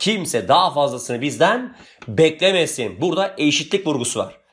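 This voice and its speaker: The man's pitch is high and his intonation lively. He talks at a moderate pace. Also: very clean recording, silent background. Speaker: history teacher. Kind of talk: exam question tutorial.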